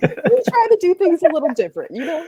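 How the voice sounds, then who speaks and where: Speaking at a very fast pace, a woman is heard in a dry, close sound with no echo. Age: 20s. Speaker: cannabis entrepreneur and event organizer. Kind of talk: casual interview chat. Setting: video podcast.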